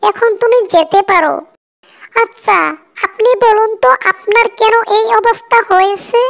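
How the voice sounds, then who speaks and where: A woman performs a cartoonish character voice at an extremely high pitch. The sound is dry and close with no echo. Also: moderate pace, ordinary pitch variation, very even loudness. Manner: caring but authoritative.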